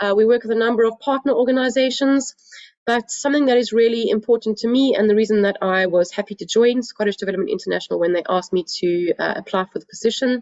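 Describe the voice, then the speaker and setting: A woman talks at a very fast pace with fairly high pitch and ordinary pitch variation. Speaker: trade and investment representative. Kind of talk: webinar presentation. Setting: at home. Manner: hesitant with many fillers.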